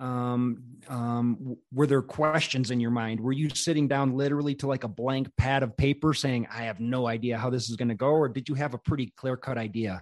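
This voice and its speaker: Using an ordinary speaking voice, a man of medium pitch speaks at a fairly quick pace with hardly any pauses and fairly even intonation. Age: 40s. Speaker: podcast host. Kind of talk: casual interview chat.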